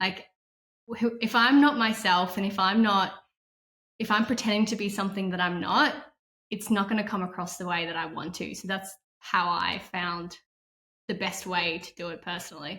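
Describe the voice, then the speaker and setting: Speaking at a moderate pace with a slight non-native accent, a woman uses a medium pitch for a woman and a bright, sharp tone, with big swings in loudness and long, frequent pauses. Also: ordinary pitch variation. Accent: barely noticeable non-native. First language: not English. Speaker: tech sales professional. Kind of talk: interview answer.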